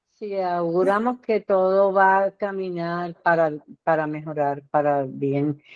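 A woman's fairly low voice moves at a very slow pace, with ordinary rises and falls in pitch. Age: 80s+. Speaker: retired teacher, condo board member. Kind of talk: casual chat.

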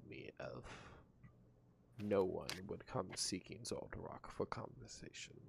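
A man speaks at a very slow pace with vocal fry and ordinary pitch variation. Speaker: game master running the tabletop game. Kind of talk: casual tabletop roleplaying game session. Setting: online video call recording.

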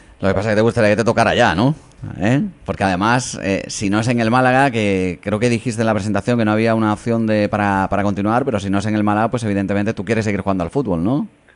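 At a very fast pace, a man talks in a fairly low pitch with fairly even intonation and very even loudness. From Spain. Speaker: sports radio host. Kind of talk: radio interview. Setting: radio studio.

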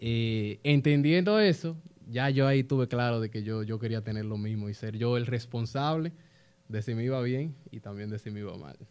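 A man with a plain, everyday voice talks at a moderate pace in a medium pitch with ordinary pitch variation. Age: 20s. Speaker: young business founder. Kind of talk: casual interview chat.

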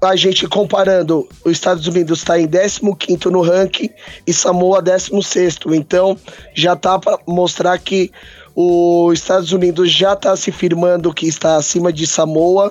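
A man speaks at a high pitch with monotone, flat intonation. His pace is fairly slow and his loudness very even. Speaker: rugby podcast co-host. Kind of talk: casual sports chat.

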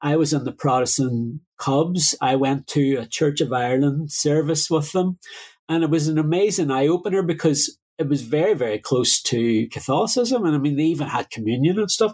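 A man with a Derry accent talks at a moderate pace and a fairly high pitch, with ordinary pitch variation. The recording is very clean with a silent background, and his loudness stays very even. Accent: Northern Irish, Derry. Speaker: musician and DJ. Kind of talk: casual interview.

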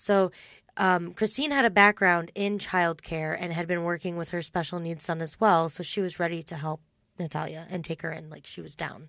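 The pace is moderate and the intonation fairly even. It is an ordinary speaking voice. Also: woman, fairly low pitch for a woman, very clean recording, silent background. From Indiana. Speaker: true crime podcast host. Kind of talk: casual chat.

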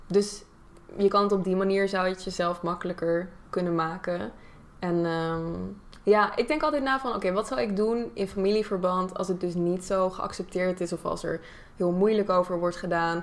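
This woman has a normal speaking voice at medium pitch, with ordinary pitch variation and a moderate pace. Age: 20s. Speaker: YouTuber and content creator. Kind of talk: casual chat.

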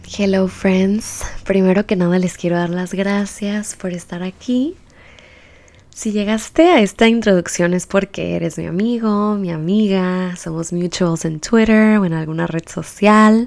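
With an unremarkable speaking voice, a woman talks at a fairly slow pace in a medium pitch, her intonation fairly even. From Baja California, Mexico. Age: 20s. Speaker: podcast host. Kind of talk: podcast introduction monologue.

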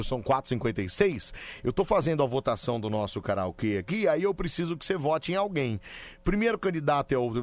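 Over a quiet background, a man speaks at a fairly quick pace. His fairly high pitch makes very wide swings. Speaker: late-night radio host. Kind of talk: casual radio banter with callers. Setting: radio studio. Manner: animated, joking.

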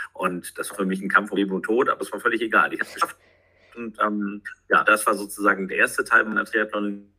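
Talking at a very fast pace, this man's voice swings widely in loudness. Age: 40s. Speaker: sports commentator. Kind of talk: casual interview. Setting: remote call.

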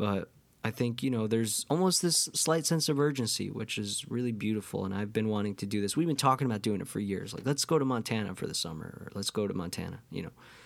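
Talking at a very fast pace with hardly any pauses, a man in a New York State accent has a medium pitch and lively intonation. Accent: New York State American. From US Northeast, Catskills, New York. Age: 20s. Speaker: podcast host and musician. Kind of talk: casual monologue. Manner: halting, many fillers.

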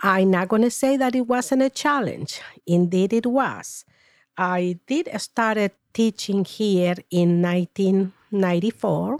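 A woman with a Spanish accent speaks at a very slow pace and medium pitch, with ordinary pitch variation and very even loudness, on a very clean recording with a silent background and a dry, close sound with no echo. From Paraguay. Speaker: retired teacher. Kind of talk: interview. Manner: formal.

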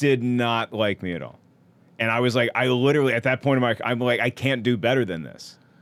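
A man with a normal speaking voice and a medium pitch talks at a fairly quick pace with fairly even intonation. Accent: American. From US South, North Carolina and Virginia. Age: 40s. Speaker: comedian. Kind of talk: casual chat.

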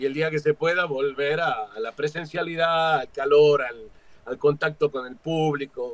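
This man has an ordinary speaking voice, fairly high in pitch, moving at a fairly slow pace with fairly even intonation and big swings in loudness. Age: 50s. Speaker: stage actor and director. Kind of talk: interview.

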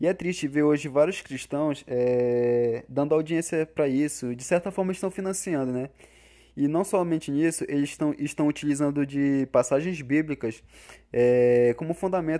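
With a dark, mellow tone and fairly high pitch, a man talks at a moderate pace and with ordinary pitch variation on a very clean recording with a silent background. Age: 20s. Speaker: podcast editor. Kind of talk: casual chat.

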